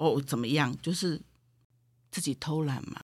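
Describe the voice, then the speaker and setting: In a very clean recording with a silent background, a woman speaks in a bright, sharp tone with lively intonation. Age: 50s. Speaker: spiritual medium. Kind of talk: casual chat.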